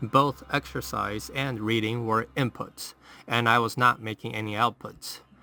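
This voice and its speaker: A man speaks in a medium pitch. Music plays in the background. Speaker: self-improvement YouTuber. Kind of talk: scripted narration. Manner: soft-spoken.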